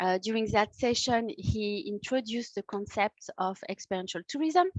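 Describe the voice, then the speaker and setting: A woman with a French accent speaks at a moderate pace and a fairly high pitch. The sound is dry and close, with no echo. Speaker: workshop host, tourism project officer. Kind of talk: online workshop presentation. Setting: video call. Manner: hesitant, many fillers.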